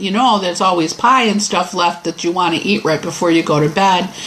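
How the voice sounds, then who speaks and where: Amid noticeable background noise, a woman talks at a fairly quick pace with a fairly low pitch. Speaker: Bible study teacher on weight loss. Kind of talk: Bible study lesson.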